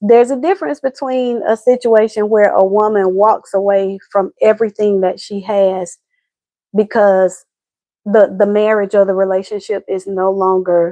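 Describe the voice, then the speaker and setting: Against a quiet background, a woman speaks at a moderate pace and medium pitch, her dark, mellow tone captured dry and close with no echo and her intonation fairly even. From US South, Atlanta, Georgia. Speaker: relationship advice host. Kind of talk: casual livestream chat. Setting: live video stream.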